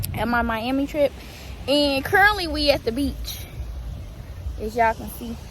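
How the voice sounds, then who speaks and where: With noticeable background noise, a woman speaks with long, frequent pauses and big swings in loudness. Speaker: vlogger. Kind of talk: casual vlog. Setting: outdoors. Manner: fast.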